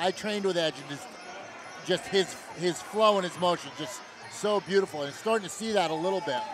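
With noticeable background noise and a dry sound with no echo, a man talks at a fairly quick pace with ordinary pitch variation. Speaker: fight color commentator. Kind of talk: commentary. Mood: admiring, enthusiastic.

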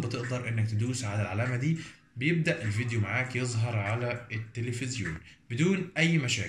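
A man at medium pitch with ordinary pitch variation and audible room echo. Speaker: tech YouTuber. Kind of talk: tutorial. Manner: casual.

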